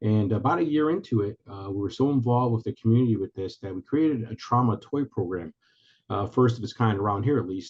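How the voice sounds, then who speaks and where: Very fast, somewhat breathy speech from a man at medium pitch with ordinary pitch variation. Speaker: retired police commander, military veteran. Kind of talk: webinar presentation. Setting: video call. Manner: halting.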